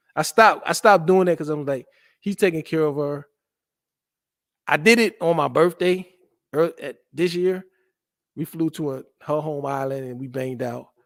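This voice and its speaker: Taking long, frequent pauses, a man speaks at a moderate pace with ordinary pitch variation and big swings in loudness, in a dry, close sound with no echo. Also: fairly high pitch for a man. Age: 40s. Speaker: stream guest boasting of dating life. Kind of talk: casual chat.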